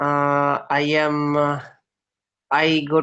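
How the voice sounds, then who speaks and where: A man with a fairly high pitch. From India, Rajasthan. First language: Hindi. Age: 20s. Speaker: schoolteacher, English learner. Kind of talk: language practice conversation. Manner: halting.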